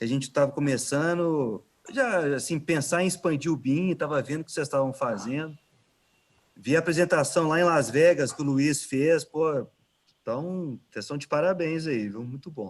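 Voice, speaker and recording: A man's fairly high voice in a Minas Gerais accent, with ordinary pitch variation at a moderate pace. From Minas Gerais, Brazil. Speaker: innovation manager at a construction company. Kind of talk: casual chat.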